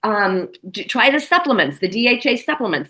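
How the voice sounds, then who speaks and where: A woman speaks in a bright, sharp, animated tone at a fairly high pitch, her voice swinging very widely up and down. Vocal fry runs through her delivery. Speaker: nutrition expert. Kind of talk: interview. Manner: fast.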